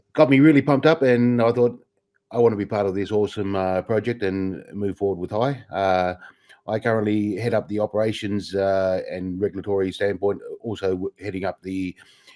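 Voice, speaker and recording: A man with an Australian accent speaks fairly quickly in a dark, mellow tone, fairly low in pitch with ordinary pitch variation. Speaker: crypto company operations and compliance head. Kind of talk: company livestream Q&A.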